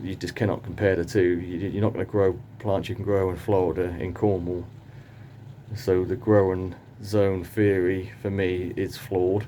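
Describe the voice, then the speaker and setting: A man with a British accent speaks in a very deep, low pitch, his dark, mellow tone held to a monotone, flat intonation. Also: moderate pace. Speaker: palm grower and gardening vlogger. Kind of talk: casual monologue vlog. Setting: greenhouse. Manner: hesitant, thinking aloud.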